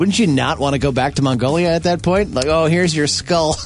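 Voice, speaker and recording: A man delivers his words at a very fast pace while noticeable background noise plays. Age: 30s. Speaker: radio host. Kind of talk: casual chat.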